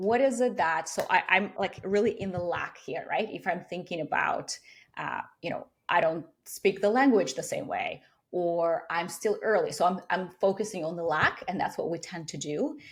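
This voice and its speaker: Moving at a moderate pace, a woman talks in a non-native accent. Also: medium pitch for a woman, ordinary pitch variation. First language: not English. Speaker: career coach. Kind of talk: interview.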